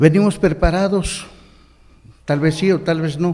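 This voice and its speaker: A man speaks with a Chiapas accent in a dark, mellow tone. His pace is fairly slow, and there is audible room echo. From Mexico, Chiapas highlands. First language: Ch'ol (speaking Spanish). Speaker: deacon preacher. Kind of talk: sermon.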